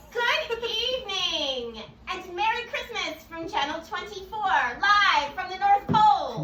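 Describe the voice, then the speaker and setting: With a slight echo, a put-on character voice comes through at an extremely high pitch and a fairly slow pace. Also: hardly any pauses. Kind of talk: talk show host. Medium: stage play.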